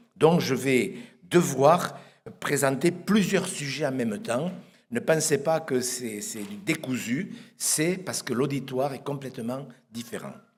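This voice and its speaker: Very slow and somewhat breathy, a man speaks at a fairly high pitch with lively intonation and big swings in loudness, in a room with audible echo. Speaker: pastor. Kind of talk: sermon. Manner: soft-spoken; halting, repeats words.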